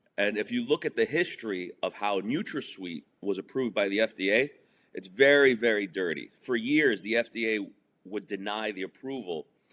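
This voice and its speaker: A man with a New York accent and a fairly low pitch, at a moderate pace with ordinary pitch variation, in a dry, close sound with no echo. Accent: New York area American. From New Jersey, outside Manhattan. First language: Spanish. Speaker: entrepreneur and comedian. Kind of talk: interview.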